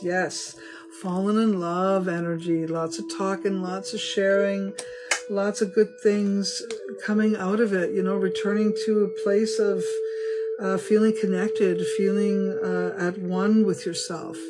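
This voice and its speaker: A woman at a fairly slow pace, with clear music in the background. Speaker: tarot reader. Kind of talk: casual reading to viewers. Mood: warm, upbeat. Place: home room. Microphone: phone near.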